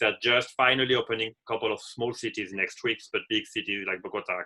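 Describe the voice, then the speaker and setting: A man's fairly quick speech with a French accent and fairly even intonation. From France. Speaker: hotel manager. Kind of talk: webinar presentation.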